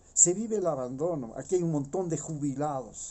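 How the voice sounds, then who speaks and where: The speaker is male, keeping a moderate tempo. His intonation rises and falls in an ordinary way. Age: 60s. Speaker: political commentator. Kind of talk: opinion monologue. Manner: animated; halting.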